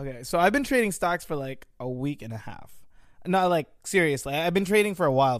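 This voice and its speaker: A man's fairly high, fairly quick voice with very wide pitch swings and big swings in loudness, on a very clean recording with a silent background. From Philippines, then Vernon Hills, Illinois from age 9. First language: Tagalog. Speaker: guest, friend of host. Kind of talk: casual chat.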